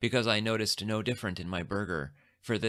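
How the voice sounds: The recording carries a natural reading voice.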